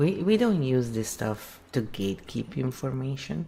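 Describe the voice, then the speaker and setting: This man has an Italian accent and a medium pitch. He speaks at a very slow pace. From Italy, near Verona. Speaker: livestream host, archetype coach. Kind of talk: casual chat. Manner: animated.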